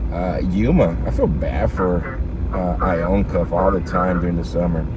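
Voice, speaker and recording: With audible room echo and noticeable background noise, a man with a very deep, low pitch speaks at a fairly slow pace using lively intonation. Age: 30s. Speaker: live streamer reading scanner and chat. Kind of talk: casual live stream chat. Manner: casual, rambling conversational.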